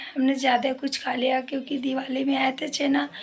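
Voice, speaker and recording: A woman speaks at a fairly slow pace with a high pitch. Noticeable background noise sits behind her. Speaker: vlogger. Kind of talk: casual vlog chat.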